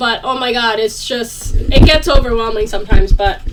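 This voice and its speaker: The speaker has a non-native accent, with noticeable background noise behind the voice. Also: woman. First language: not English. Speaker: vlogger. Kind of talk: casual chat. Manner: animated.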